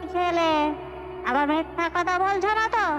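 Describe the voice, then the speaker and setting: An extremely high-pitched, cartoonish character voice sounds over loud background noise. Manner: bossy, scolding.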